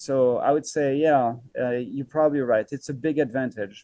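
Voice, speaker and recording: A man with a French accent has a dark, mellow tone at medium pitch. He keeps a moderate pace and fairly even intonation. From France. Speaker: microgreens farmer. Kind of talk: podcast interview. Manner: hesitant, many fillers.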